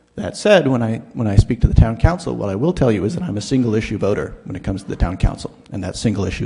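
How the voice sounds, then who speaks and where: Noticeable background noise can be heard. Over it, the words come at a very fast pace. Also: man. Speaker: university teacher, public commenter. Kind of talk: public comment at town meeting. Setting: town council meeting hall. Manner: halting, with fillers.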